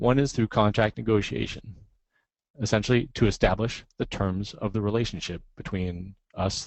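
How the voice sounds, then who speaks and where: A man speaks with a fairly low pitch and ordinary pitch variation. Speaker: software licensing director and cloud contracting instructor. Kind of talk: webcast presentation. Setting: webcast. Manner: fast.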